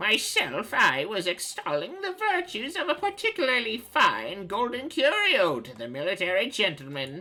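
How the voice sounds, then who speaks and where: In a put-on character voice, the speaker uses a fairly high pitch at a moderate pace. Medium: game stream. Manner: florid, wordy, pompous.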